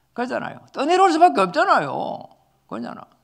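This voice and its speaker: Very wide pitch swings mark this man's animated tone, recorded very cleanly against a silent background. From South Korea, Jinju area (Gyeongsang). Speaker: pastor. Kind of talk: sermon.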